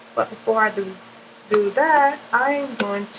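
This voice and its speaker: A woman's fairly high voice with ordinary pitch variation, amid noticeable background noise. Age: 40s. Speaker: makeup artist. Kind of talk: tutorial. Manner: casual.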